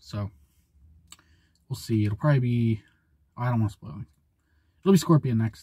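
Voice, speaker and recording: A man with a dark, mellow tone sounds somewhat breathy, his loudness swinging widely. His pitch variation is ordinary, and the background is quiet. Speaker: small channel creator. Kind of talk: casual vlog chat. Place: car. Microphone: phone near.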